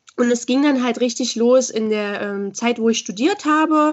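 A woman speaks at a moderate pace in a high pitch, her intonation showing ordinary variation. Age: 20s. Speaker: school social worker and body-positivity coach. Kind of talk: interview.

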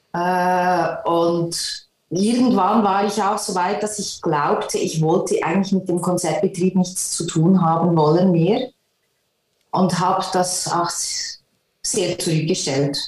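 A woman's medium-pitched voice at a very slow pace. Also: ordinary pitch variation. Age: 50s. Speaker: concert pianist. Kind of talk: interview.

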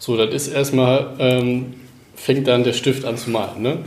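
Noticeable background noise and audible room echo around a man's medium-pitched voice at a moderate pace. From northern Germany, Cuxhaven. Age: 20s. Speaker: former tennis player, fitness trainer. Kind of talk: interview. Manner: halting, many fillers.

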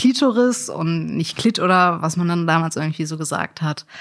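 A woman talks in a normal speaking voice pitched fairly low. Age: 30s. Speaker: sex worker. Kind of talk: interview.

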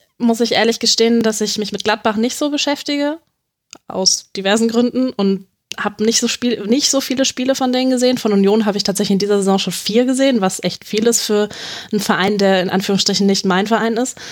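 A woman's fairly high voice, fairly even in intonation and at a fairly quick pace. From Hanover, Germany. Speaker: freelance sports journalist. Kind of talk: casual football analysis chat. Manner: hesitant, many fillers.

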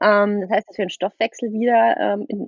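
This woman has a normal speaking voice at a medium pitch. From southwest Germany, near Freiburg. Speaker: nutrition coach. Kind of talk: casual podcast interview.

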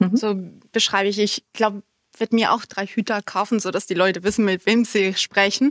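In a very clean recording with a silent background and a dry, close sound with no echo, a woman speaks in a fairly high voice with a Spanish accent. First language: Spanish (speaking German). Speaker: compliance department head. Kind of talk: interview.

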